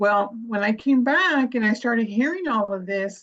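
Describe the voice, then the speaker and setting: Somewhat breathy, a woman with an American accent talks at a moderate pace. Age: 60s. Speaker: arm wrestler. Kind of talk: casual chat.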